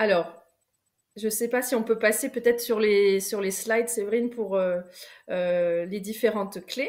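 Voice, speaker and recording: Speaking with a fairly high pitch and fairly even intonation, a woman goes at a fairly slow pace with long, frequent pauses. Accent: southwestern French. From southwest France. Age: 30s. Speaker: coach and trainer. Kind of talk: online masterclass talk. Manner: hesitant, many fillers.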